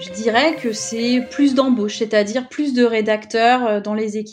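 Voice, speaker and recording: A woman with a plain, everyday voice and a fairly high pitch speaks at a fairly slow pace with ordinary pitch variation against a quiet background. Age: 30s. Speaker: UX writer. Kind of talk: interview testimony.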